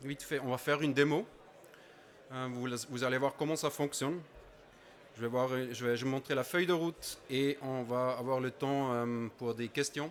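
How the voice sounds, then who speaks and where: With a non-native accent, a man at medium pitch speaks at a moderate pace in fairly even intonation, leaving long, frequent pauses. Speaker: conference presenter. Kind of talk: conference talk. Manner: halting, many hesitations.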